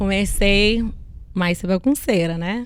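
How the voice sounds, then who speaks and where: A woman of medium pitch speaks with an American accent and ordinary pitch variation. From US Northeast, Connecticut. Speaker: businesswoman. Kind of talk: interview.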